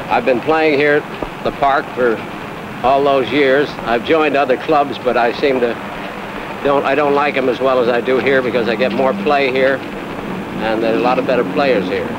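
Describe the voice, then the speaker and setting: A man speaks with fairly even intonation and very even loudness, with audible room echo and noticeable background noise. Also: medium pitch for a man, moderate pace. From New York. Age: 70s. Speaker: retired oral surgeon. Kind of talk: interview. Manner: halting.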